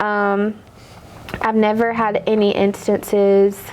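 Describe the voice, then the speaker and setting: A soft-spoken woman talks in a flat, monotone way. There is noticeable background noise. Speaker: car dealership manager. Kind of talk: casual chat.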